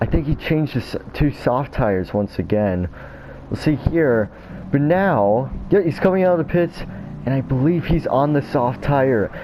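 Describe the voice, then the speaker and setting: A man with an American accent, fairly high-pitched, at a moderate pace, lively intonation, noticeable background noise. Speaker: sim racing gamer, commentating own race. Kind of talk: casual race replay commentary. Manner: casual, many filler words.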